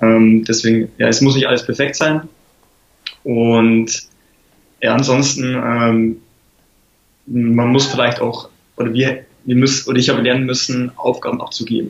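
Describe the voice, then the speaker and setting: Speaking in a monotone, flat way at a medium pitch, a man keeps a fairly slow pace with long, frequent pauses. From Lower Bavaria, Germany. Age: 20s. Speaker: app startup founder. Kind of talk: interview.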